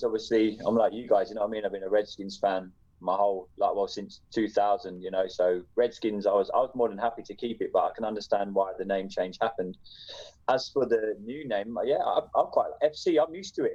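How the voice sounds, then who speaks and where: With an English accent, a man talks at a fairly quick pace. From England. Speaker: podcast host, guest. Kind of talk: casual chat.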